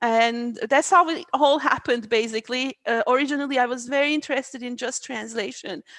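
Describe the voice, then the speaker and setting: Speaking at a fairly quick pace, a woman with a Turkish accent has a high pitch and ordinary pitch variation, the sound dry and close with no echo. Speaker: AI researcher. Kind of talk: interview. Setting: video call. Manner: halting, many fillers.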